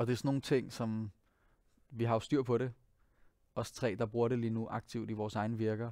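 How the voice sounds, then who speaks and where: A dark, mellow tone carries monotone, flat intonation at a moderate pace, with a dry sound with no echo and a quiet background. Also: man. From Denmark, Copenhagen. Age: 20s. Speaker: singer and pianist; guest. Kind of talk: interview monologue. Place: studio. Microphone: headset.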